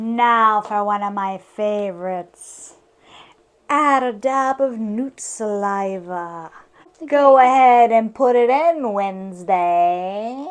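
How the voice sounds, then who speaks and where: A woman's put-on character voice, fairly high in pitch, at a very slow pace. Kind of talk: comic overacting. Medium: solo performance. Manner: mock-archaic, cackling.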